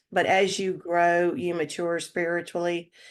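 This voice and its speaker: Speaking at a fairly slow pace, a woman with a North Carolina accent has a fairly low pitch. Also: quiet background. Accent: Southern American (North Carolina). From US South, North Carolina (Lexington). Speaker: retired accountant, writer and musician. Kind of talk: interview. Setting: podcast interview. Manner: halting, many fillers.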